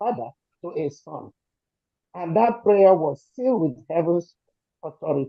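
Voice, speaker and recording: A woman's lively intonation in a Nigerian accent. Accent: Nigerian Igbo English. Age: 70s. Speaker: activist supporter. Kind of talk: emotional testimony. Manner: shaky voice.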